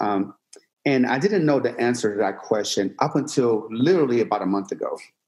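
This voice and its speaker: With a Persian accent, a man talks at a fairly quick pace. His medium pitch moves in very wide swings. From Iran, moved to Pennsylvania at eleven. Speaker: fitness entrepreneur and influencer. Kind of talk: podcast interview. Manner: casual conversational.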